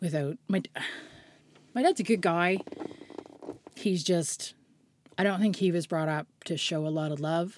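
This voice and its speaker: In a Nova Scotian accent, a woman speaks at a fairly slow pace and a fairly low pitch, with ordinary pitch variation and long, frequent pauses. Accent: Nova Scotian Canadian English. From Nova Scotia, Canada. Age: 40s. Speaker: hairstylist. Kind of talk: casual chat.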